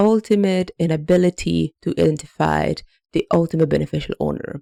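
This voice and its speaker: This woman has an Italian accent and a moderate pace. The sound is dry and close, with no echo. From Italy. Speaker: anti-money laundering consultant. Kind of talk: explainer video. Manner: some hesitations and repeated words.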